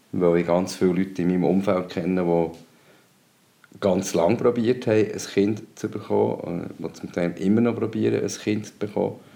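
At a moderate pace, a man with a very deep, low pitch speaks in a dark, mellow tone marked by vocal fry. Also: ordinary pitch variation. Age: 50s. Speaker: co-host and father. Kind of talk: casual chat.

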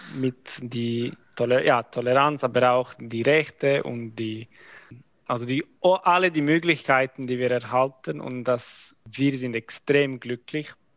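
Speaking very slowly, a man keeps his voice at a medium pitch. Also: ordinary pitch variation. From Croatia. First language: not German (speaking German). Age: 20s. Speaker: army officer, mathematics graduate. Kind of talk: interview. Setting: video call. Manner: halting.

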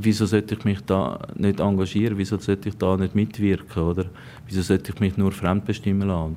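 Intonation stays fairly even in a dark, mellow tone. Delivery is fairly quick. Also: man, fairly low pitch for a man. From Switzerland, canton of Zug. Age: 30s. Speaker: local politician and election candidate. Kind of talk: interview.

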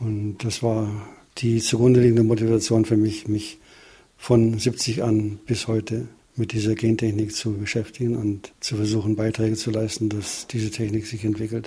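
A somewhat breathy, dark and mellow voice with monotone, flat intonation. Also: man, fairly low pitch for a man, moderate pace. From Upper Bavaria, Germany. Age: 70s. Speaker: retired plant biotechnologist. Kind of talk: interview. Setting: home living room.

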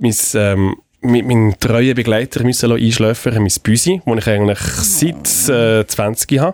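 At a moderate pace and very even loudness, a man talks at medium pitch in a normal speaking voice. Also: lively intonation. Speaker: radio executive and podcast co-host. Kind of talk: casual chat.

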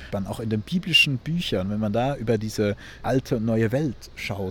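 Noticeable background noise accompanies a man speaking at a moderate pace, with a medium pitch and ordinary pitch variation. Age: 20s. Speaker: theology student and climate activist. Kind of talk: interview. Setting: on location in a community house and garden. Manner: halting, many repetitions and fillers.

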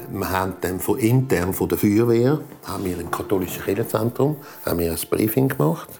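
With music playing behind him, a fairly low-pitched man talks fairly quickly and with lively intonation. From Switzerland, Zurich area. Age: 60s. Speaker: volunteer firefighter. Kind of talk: interview recollection. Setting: at home, dining table.

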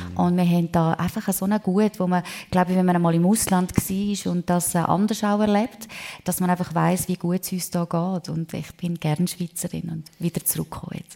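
A woman speaks in a fairly low voice with a dark, mellow tone and a flat, monotone intonation. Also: moderate pace. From Switzerland, Prättigau (Graubünden). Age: 50s. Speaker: singer and real estate entrepreneur. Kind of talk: live radio talk show interview. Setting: restaurant event venue with live audience.

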